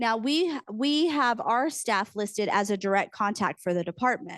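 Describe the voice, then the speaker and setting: This woman's pitch sits fairly high. Her intonation is lively. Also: quiet background. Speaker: university program director. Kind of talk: conference presentation. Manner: fast.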